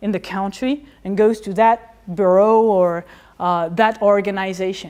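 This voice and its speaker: There is a quiet background as a woman speaks with a French accent. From France. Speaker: historian of economics; lecturer. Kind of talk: lecture. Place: classroom.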